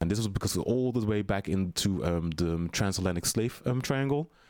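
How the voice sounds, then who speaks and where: On a very clean recording with a silent background, a man speaks. His pitch is fairly low, and he has a Dutch accent. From Netherlands. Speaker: drag queen performer. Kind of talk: casual interview chat. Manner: filler-heavy, chatty.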